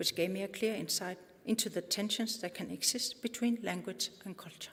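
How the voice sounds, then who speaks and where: A woman's somewhat breathy, medium-pitched voice at a moderate pace with lively intonation. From Greenland, Nuuk. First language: Greenlandic (Kalaallisut). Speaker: conference speaker, language activist. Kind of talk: prepared talk, conference presentation.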